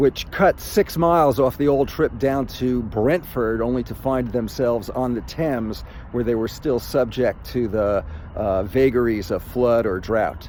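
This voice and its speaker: A normal speaking voice, its pitch shifting in an ordinary way. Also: man, medium pitch for a man, fairly slow pace. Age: 60s. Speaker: amateur runner, boater. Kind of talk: casual vlog narration while running.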